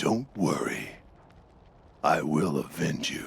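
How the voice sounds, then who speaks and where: Putting on a character voice, a man speaks fairly slowly in a raspy, very deep, low pitch. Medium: video game.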